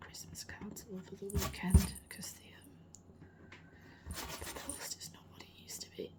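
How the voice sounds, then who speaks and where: At a moderate pace, someone with a British accent speaks against noticeable background noise. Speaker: ASMR artist. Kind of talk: casual chat over ASMR art sounds. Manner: louder than usual for ASMR, natural speaking level.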